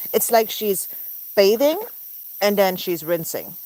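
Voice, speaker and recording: With an American accent and ordinary pitch variation, a woman talks while noticeable background noise plays. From mixed American and German. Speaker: pet goose keeper and livestreamer. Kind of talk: casual livestream chat. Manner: chatty with baby talk to animals.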